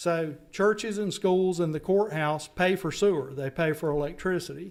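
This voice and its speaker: A man with a Southern US accent speaks at a moderate pace in a high pitch with fairly even intonation. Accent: Southern US accent, noticeable. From North Carolina. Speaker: stormwater funding consultant. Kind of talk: public meeting presentation.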